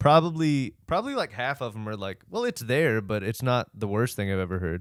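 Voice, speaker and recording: In a very clean recording with a silent background, a man speaks with an American accent at a medium pitch. His pace is fairly quick and his intonation lively. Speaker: podcast co-host. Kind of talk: casual chat. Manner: halting.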